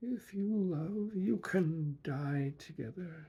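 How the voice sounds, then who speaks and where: Putting on a character voice, a man speaks very slowly at a high pitch with lively intonation. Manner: very slow, deliberate.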